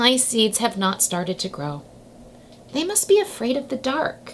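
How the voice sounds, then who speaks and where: Over clear background noise, a woman uses a put-on character voice, high in pitch with very wide pitch swings. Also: moderate pace. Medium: read story.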